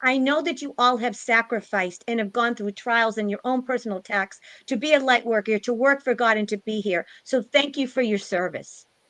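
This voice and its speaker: Speaking at a fairly quick pace with hardly any pauses, a woman uses a fairly high pitch and ordinary pitch variation, the sound dry and close with no echo over a quiet background. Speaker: spiritual live stream host. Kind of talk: closing remarks of a live stream panel. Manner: loud.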